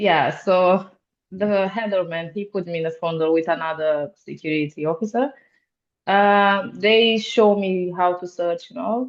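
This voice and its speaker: Speaking fairly slowly with a Romanian accent, a woman uses a medium pitch and ordinary pitch variation. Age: 20s. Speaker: security officer. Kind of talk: podcast interview. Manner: halting, many fillers.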